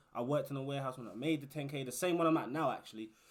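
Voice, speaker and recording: An animated, fairly high-pitched man's voice with a British accent. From UK. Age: 20s. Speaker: warehouse worker and YouTuber. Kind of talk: casual advice vlog.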